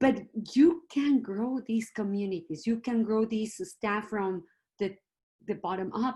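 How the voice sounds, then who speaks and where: Somewhat breathy and dark, mellow in tone, a woman speaks slowly at a fairly high pitch with lively intonation. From Mexico City. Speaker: museum consultant. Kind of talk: panel discussion.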